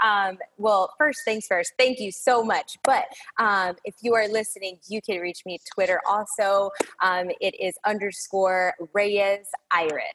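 A woman with an American accent has a plain, everyday voice at medium pitch, speaking at a fairly slow pace with ordinary pitch variation. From Chicago area. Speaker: retail store manager. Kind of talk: podcast interview.

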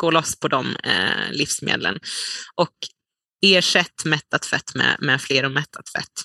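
Very slowly and with vocal fry, a woman with a very deep, low pitch and a bright, sharp tone speaks with ordinary pitch variation in a dry, close sound with no echo. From Sweden, Dalarna. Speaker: dietitian and nutrition researcher. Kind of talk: interview. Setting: remote call.

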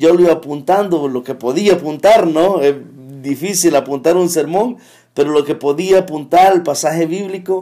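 The recording is very clean, with a silent background. A man with a high pitch and a dark, mellow tone speaks at a moderate pace with ordinary pitch variation. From El Salvador, Metapán. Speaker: church elder. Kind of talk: testimony. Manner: halting.

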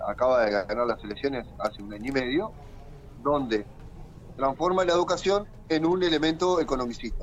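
A man with a fairly high voice talks at a fairly quick pace with lively intonation over noticeable background noise. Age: 40s. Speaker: teacher and political activist. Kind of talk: interview. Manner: repeats words, slightly halting.

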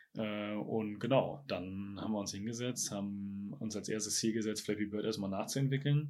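A normal speaking voice moves at a moderate pace with hardly any pauses and ordinary pitch variation. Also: man, fairly low pitch for a man. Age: 20s. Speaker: software company founder. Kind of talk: interview.

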